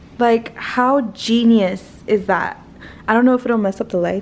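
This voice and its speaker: A woman with an American accent, fairly even in intonation and moderate in pace, over noticeable background noise. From South Texas. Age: 20s. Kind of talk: casual vlog talk to camera.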